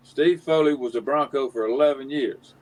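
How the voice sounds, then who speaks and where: Speaking with a Southern US accent, a man uses a fairly high pitch for a man. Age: 70s. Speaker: former athlete and retired banker. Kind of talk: casual interview chat. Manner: halting, many false starts.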